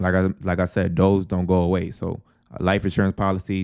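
A man's very deep, low voice at a fairly quick pace, in a very clean recording with a silent background and a dry, close sound with no echo. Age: 20s. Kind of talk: casual chat. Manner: casual, many filler words.

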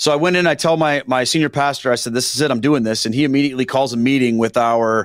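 On a very clean recording with a silent background, a man speaks at a very fast pace. His medium pitch follows fairly even intonation. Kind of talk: casual interview. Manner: plain, down-to-earth speaking.

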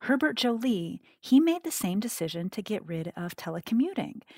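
A woman with an American accent and a normal speaking voice, lively intonation, a moderate pace, and a dry, close sound with no echo on a very clean recording over a silent background. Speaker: cognitive scientist and author. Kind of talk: interview.

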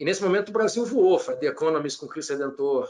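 A man talks at a fairly quick pace. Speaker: business executive. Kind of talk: interview.

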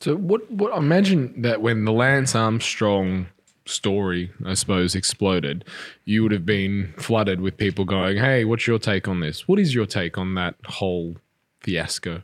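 A man with an Australian accent and a fairly low pitch, on a very clean recording with a silent background. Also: ordinary pitch variation, moderate pace. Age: 30s. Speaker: podcast host, fitness trainer. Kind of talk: interview.

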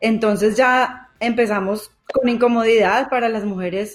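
In a Colombian paisa accent, a woman speaks at a fairly high pitch. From Colombia, Manizales. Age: 40s. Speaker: podcast co-host, journalist. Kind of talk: casual chat. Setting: remote call over internet.

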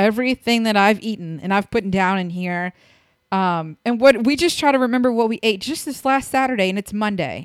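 A woman speaks in a normal speaking voice, fairly high in pitch, at a fairly quick pace with lively intonation. The recording is very clean and dry, close with no echo, over a silent background. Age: 30s. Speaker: podcast co-host. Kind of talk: casual chat.

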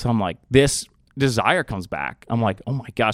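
An ordinary speaking voice from a man with an American accent, medium in pitch and fairly quick, dry and close with no echo. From Austin, Texas. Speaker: campus ministry worker. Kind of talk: testimony. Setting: studio.

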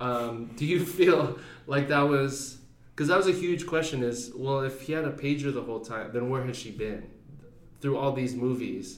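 Audible room echo and noticeable background noise surround a man speaking at a medium pitch and moderate pace with ordinary pitch variation. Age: 30s. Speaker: podcast host. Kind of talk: casual chat. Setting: home recording at night.

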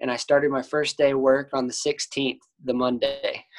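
Spoken at a moderate pace with an American accent, the voice sounds dry and close with no echo. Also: man. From Texas, Cedar Park. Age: 20s. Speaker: college golfer. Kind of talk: casual interview.

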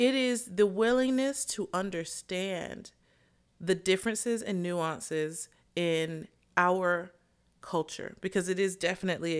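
In a very clean recording with a silent background, a woman with a plain, everyday voice speaks at medium pitch with lively intonation. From US South. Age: 30s. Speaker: podcast co-host. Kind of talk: casual chat.

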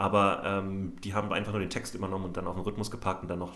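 A man's fairly low voice at a very fast pace, with audible room echo and noticeable background noise. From Berlin, Germany. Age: 30s. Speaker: comedy podcast host. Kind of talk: casual chat.

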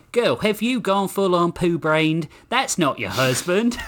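A man uses a put-on character voice with high pitch, big pitch swings and a fairly bright tone. He talks at a fairly slow pace.

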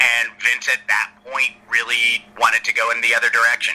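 Talking at a moderate pace with an American accent, this man is heard against noticeable background noise. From US South, Atlanta. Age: 40s. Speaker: screenwriter and former wrestling writer. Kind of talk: casual interview chat. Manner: hesitant, many fillers.

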